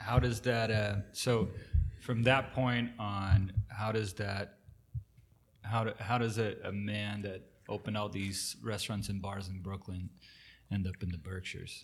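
Speaking at a fairly slow pace, the man has a fairly low pitch, a monotone, flat intonation and a somewhat breathy sound. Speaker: podcast co-host. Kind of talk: casual conversational podcast.

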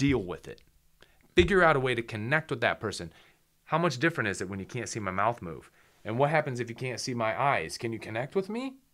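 This man speaks very fast at a medium pitch, with very wide pitch swings. The recording is very clean, with a silent background. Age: 30s. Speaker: photographer and video production business owner. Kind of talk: casual interview chat. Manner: animated.

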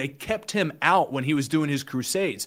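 A man with an American accent and an unremarkable speaking voice, fairly high in pitch with ordinary pitch variation. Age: 20s. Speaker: online evangelist. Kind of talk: casual chat with preaching.

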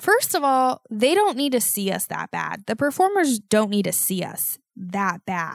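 Her pitch high and swinging very widely, a woman speaks at a fairly slow pace in a dry, close sound with no echo. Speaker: podcast host. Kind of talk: casual solo monologue. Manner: rambling, many fillers.

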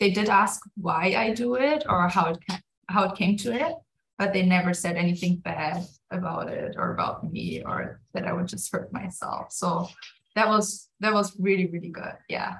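Speaking at a moderate pace, a woman with a German accent shows vocal fry. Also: medium pitch for a woman, ordinary pitch variation. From Germany. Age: 20s. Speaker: pastor. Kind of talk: casual interview chat.

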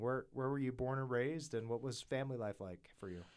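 A very fast, medium-pitched man's voice with ordinary pitch variation. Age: 40s. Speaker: podcast host. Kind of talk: interview. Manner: hesitant, many fillers.

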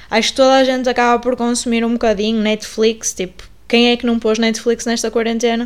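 The speaker is a woman with a fairly high pitch. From northern Portugal, Paredes (Porto). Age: 20s. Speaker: podcast host and journalism student. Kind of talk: casual podcast introduction. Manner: hesitant, many fillers and repetitions.

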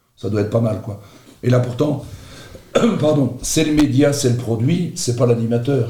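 A man speaks at medium pitch and a fairly slow pace, with ordinary pitch variation and long, frequent pauses. The room echo is audible and background noise is noticeable. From Belgium, Charleroi (Marchienne). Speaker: radio host. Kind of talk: casual interview.

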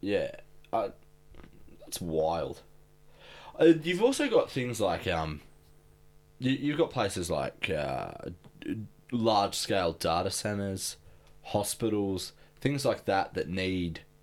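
Speaking in an Australian accent, a man talks at a very slow pace with long, frequent pauses. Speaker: podcast co-host. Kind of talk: casual chat.

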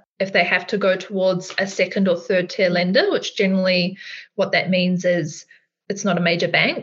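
Medium pitch from a woman, in an Australian accent. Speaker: finance co-host, mortgage broker. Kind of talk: casual podcast conversation.

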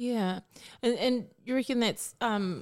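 A woman with a New Zealand accent speaks at a moderate pace in a fairly high pitch with lively intonation. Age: 40s. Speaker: guest co-panelist. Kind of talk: casual chat.

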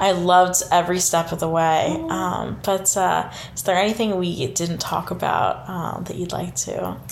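There is noticeable background noise as a woman talks. She keeps a moderate pace with hardly any pauses. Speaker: student podcast host. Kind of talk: interview.

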